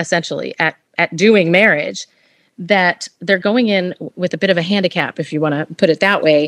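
An unremarkable speaking voice, a woman at medium pitch talks at a moderate pace with ordinary pitch variation, the sound dry and close with no echo in a very clean recording with a silent background. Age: 50s. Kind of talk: interview conversation.

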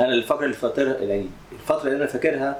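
A man with a Cairo accent, medium pitch and fairly even intonation over noticeable background noise. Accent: Cairene Egyptian Arabic. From Egypt, Cairo. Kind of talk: interview testimony.

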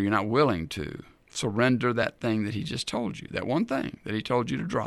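In a very clean recording with a silent background, a man talks at a fairly quick pace in an ordinary speaking voice, his medium pitch showing ordinary variation. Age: 60s. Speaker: radio ministry host and Bible teacher. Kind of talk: radio Bible teaching.

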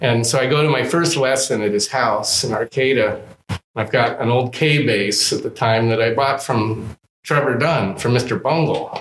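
A man with an American accent and an unremarkable speaking voice, medium pitch, ordinary pitch variation and very even loudness, at a moderate pace. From Southern California. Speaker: double bass player and luthier. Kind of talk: casual interview chat. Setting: music store showroom.

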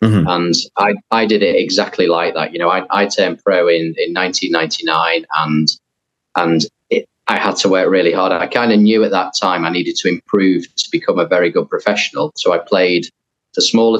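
In a Liverpool accent, a man talks at a fairly quick pace in a dry, close sound with no echo. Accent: Liverpool (Scouse) English. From northern England, near Liverpool. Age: 40s. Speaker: professional golfer. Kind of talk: interview.

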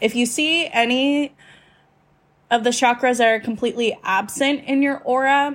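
Here a woman speaks with a fairly high pitch and fairly even intonation. Her pace is fairly slow. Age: 20s. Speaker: podcast host. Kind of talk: solo casual talk. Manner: halting, long pauses while thinking.

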